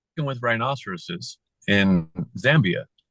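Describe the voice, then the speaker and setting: Very wide pitch swings and vocal fry from a man with an American accent, in a dry, close sound with no echo. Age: 50s. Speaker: company founder and author. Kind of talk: casual interview chat. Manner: animated.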